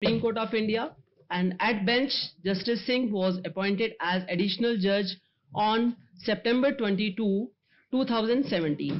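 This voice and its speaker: A woman speaks at a fairly slow pace. Her loudness stays very even, with ordinary pitch variation. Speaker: event host introducing the guest speaker. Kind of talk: formal introduction speech. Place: hall. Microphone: podium.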